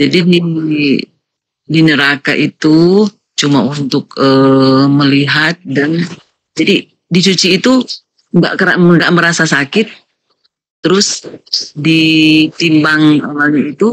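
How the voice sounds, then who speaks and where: With a Manado accent, a woman speaks very slowly, with long, frequent pauses and very even loudness. Her pitch is very deep and low, with ordinary variation. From Manado, North Sulawesi, Indonesia. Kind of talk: religious discussion, questions. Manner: halting, many fillers.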